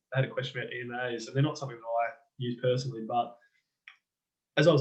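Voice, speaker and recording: A man speaks at a very fast pace with a somewhat breathy, medium-pitched voice. His intonation stays monotone and flat. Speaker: trading educator. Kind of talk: casual tutorial. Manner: hesitant, many fillers.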